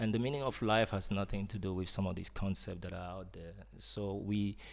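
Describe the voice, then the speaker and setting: In a French accent, a man talks at a fairly quick pace. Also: fairly even intonation. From Cameroon, French-speaking side. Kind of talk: interview conversation. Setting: live event with audience. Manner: hesitant, many fillers.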